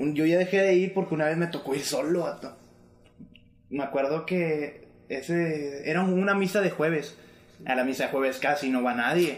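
Speaking with a Mexican accent, a man keeps a moderate pace. His pitch varies in an ordinary way. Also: fairly high pitch for a man. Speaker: music producer. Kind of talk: casual chat.

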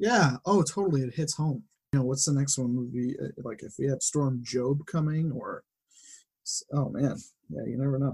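A man with an American accent talks at a fairly high pitch in a somewhat breathy voice, with ordinary pitch variation and long, frequent pauses. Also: moderate pace. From Western Massachusetts. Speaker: data visualization designer and farmer. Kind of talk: casual chat.

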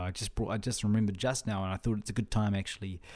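A man speaks in a New Zealand accent. His pitch varies in an ordinary way. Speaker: podcast host. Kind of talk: solo monologue. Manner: halting, repeats words.

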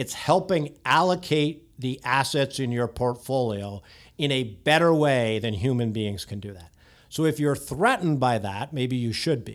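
An ordinary speaking voice with lively intonation and big swings in loudness, at a moderate pace, on a very clean recording with a silent background. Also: man, medium pitch for a man. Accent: Canadian. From Canada, near Toronto. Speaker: technology executive. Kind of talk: podcast interview.

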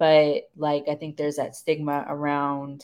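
Over a quiet background, the voice moves at a very slow pace with a monotone, flat intonation. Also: woman. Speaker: co-host. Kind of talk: casual chat.

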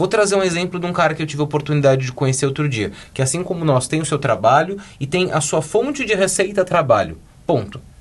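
Speaking at a very fast pace, a man uses lively intonation and a fairly high pitch for a man. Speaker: podcast co-host. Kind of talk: casual chat.

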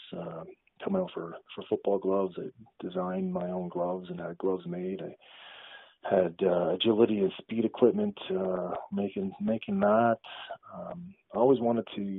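This speaker has a Canadian accent and big swings in loudness. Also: man. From Canada, Ottawa. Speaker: company founder, former pro football player. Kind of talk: interview.

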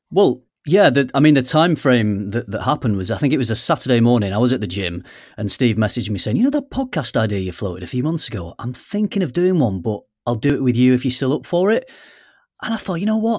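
Against a silent background in a very clean recording, a man talks very fast with very wide pitch swings. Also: medium pitch for a man. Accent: British. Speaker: podcast co-host. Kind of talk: casual chat. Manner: jokey, self-deprecating.

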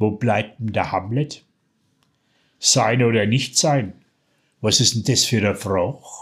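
In a very clean recording with a silent background, a man with a Franconian accent speaks very slowly at a medium pitch, somewhat breathy, with ordinary pitch variation and long, frequent pauses. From Franconia, Bavaria. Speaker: dialect poet. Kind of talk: poetry reading.

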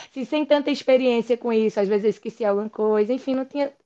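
A woman talks high in pitch, varying it in an ordinary way. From Pernambuco countryside, Brazil. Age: 40s. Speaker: endodontist. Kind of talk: interview conversation.

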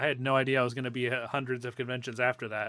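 A man with an American accent talks at a very fast pace. His medium-pitched voice has a bright, sharp tone. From Northwest Ohio. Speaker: podcast host. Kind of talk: casual chat.

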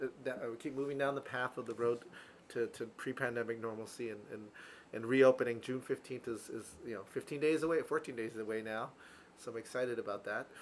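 A plain, everyday voice from a man with an American accent, medium in pitch, fairly quick, and fairly even in intonation. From US East Coast. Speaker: real estate podcast co-host. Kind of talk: casual chat.

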